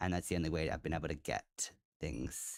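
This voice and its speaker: The sound is dry and close, with no echo. A man with an Australian accent speaks at a moderate pace. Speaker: video game streamer. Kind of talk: live gameplay commentary. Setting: live stream. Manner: casual, halting with fillers.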